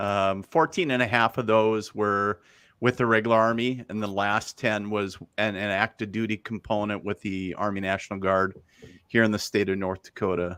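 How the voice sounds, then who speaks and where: On a very clean recording with a silent background, a man with a fairly low, bright and sharp voice speaks at a moderate pace with fairly even intonation. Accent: Upper Midwest US. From northern Minnesota. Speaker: psychic medium and army veteran. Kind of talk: interview. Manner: casual.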